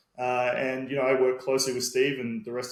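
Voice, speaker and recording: Talking at a fairly quick pace, a man with an Australian accent has a medium pitch. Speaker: sales and marketing manager. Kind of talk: podcast interview.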